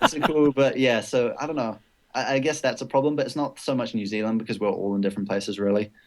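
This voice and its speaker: Speaking at a very fast pace with a slight British accent, this voice shows ordinary pitch variation. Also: man, medium pitch for a man. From Britain. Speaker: esports player. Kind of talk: casual interview.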